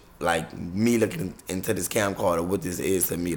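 A man speaks with an American accent in an animated tone. His pitch is very deep and low. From US South, New Orleans; Louisiana. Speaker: YouTube vlogger and entertainer; YouTube vlogger. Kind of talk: casual vlog monologue to camera. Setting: recording on a camera. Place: home room. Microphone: webcam.

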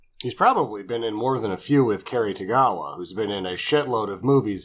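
A man talks at a fairly quick pace with hardly any pauses. His pitch variation is ordinary. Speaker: podcast co-host. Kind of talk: casual chat. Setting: remote call, webcam mic at first. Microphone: webcam.

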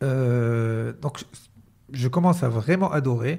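With ordinary pitch variation, a man talks in a dark, mellow, somewhat breathy voice. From Morocco. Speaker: entrepreneur and mentalist; podcast guest. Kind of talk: casual interview chat. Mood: relaxed, smiling. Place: office. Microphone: studio mic.

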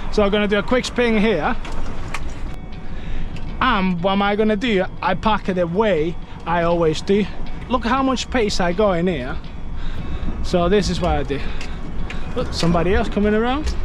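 Over light background noise, the speaker keeps a moderate pace with long, frequent pauses and a dry sound with no echo. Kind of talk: tutorial. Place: car.

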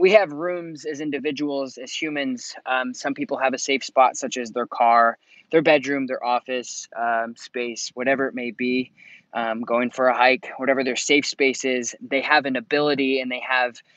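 At a moderate pace, a man talks with fairly even intonation, the sound dry with no echo and the background quiet. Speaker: dog trainer. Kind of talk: live stream advice talk. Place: open country. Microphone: earbuds.

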